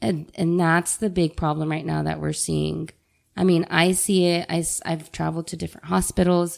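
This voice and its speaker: In a very clean recording with a silent background, a woman with a fairly low pitch speaks in a monotone, flat intonation. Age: 30s. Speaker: nurse. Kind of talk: casual chat.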